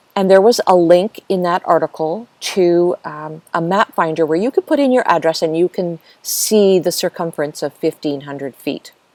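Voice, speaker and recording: Speaking at a moderate pace with hardly any pauses, a woman uses an ordinary speaking voice that sits fairly low in pitch and has ordinary pitch variation. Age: 60s. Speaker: seniors' channel host. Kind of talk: live stream chat with viewers. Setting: outdoors in a garden.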